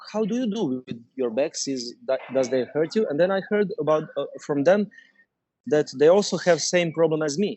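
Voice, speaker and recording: Here a man talks with a Croatian accent at a moderate pace. His intonation is lively. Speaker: dentist and startup founder. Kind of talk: interview. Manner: halting, many fillers.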